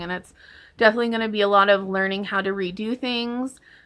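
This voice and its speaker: Talking very fast with fairly even intonation, a woman with a fairly high pitch is heard on a very clean recording with a silent background. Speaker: homesteading vlogger and homeschooling mom. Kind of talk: casual vlog update. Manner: conversational, many fillers.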